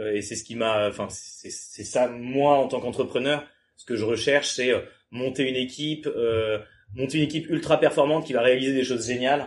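A man speaks fairly quickly in a plain, everyday voice at a medium pitch. His intonation is fairly even, but his loudness swings a lot. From France, Le Mans. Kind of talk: casual chat. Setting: startup incubator premises, Toulouse.

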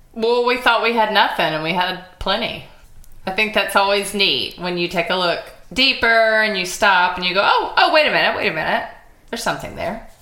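A woman with an American accent talks at a fairly quick pace, medium in pitch with ordinary pitch variation, in a room with audible echo. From US Gulf Coast. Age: 40s. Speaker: podcast host. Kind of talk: casual chat.

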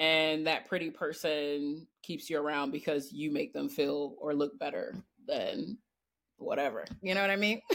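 This woman's voice is very deep and low in pitch. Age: 30s. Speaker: writer. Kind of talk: casual chat.

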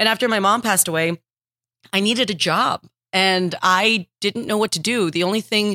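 A woman talks with an American accent and a bright, sharp tone. The sound is dry and close with no echo. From Texas. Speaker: comedian. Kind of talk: casual interview chat.

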